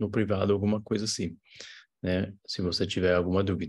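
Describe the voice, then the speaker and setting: A man with a non-native accent speaks at a fairly low pitch and a moderate pace. His intonation is monotone and flat, and the background is quiet. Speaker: English teacher. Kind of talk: tutorial. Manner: hesitant, many fillers and restarts.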